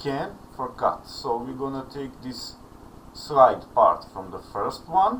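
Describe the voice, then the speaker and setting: With a Serbian accent, a man talks at a very slow pace amid noticeable background noise and audible room echo. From Serbia, Belgrade. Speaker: online music student. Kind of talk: tutorial.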